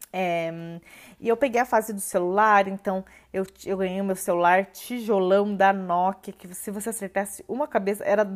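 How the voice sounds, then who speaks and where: A medium-pitched woman's voice, very cleanly recorded with a silent background. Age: 20s. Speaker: podcast host. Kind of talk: solo podcast monologue. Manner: casual, hesitant with filler words.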